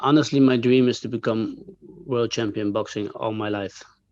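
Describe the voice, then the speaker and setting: Against a quiet background, a man with a Dutch accent talks at a moderate pace and a medium pitch. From Netherlands. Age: 30s. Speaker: kickboxer. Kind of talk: interview. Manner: halting, many fillers and repeats.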